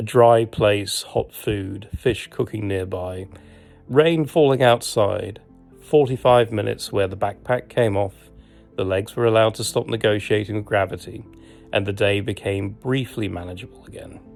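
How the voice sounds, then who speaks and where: With music in the background, a man with a British accent talks at a moderate pace and a fairly low pitch, his loudness swinging widely. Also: ordinary pitch variation. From Britain. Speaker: travel and hiking vlogger. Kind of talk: humorous travel documentary narration.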